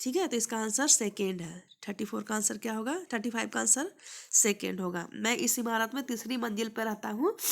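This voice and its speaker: Over a silent background in a very clean recording, a woman talks at a fairly slow pace in a fairly high pitch, with lively intonation and vocal fry. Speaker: maths teacher. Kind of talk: exam prep tutorial.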